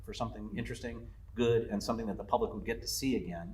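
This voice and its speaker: A man's voice with audible room echo. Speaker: lodge owner. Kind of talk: interview. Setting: on location at the lodge. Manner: halting, many fillers and repeats.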